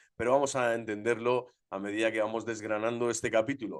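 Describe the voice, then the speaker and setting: This is a man speaking at medium pitch. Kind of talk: religious formation lecture. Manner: fast; vehement.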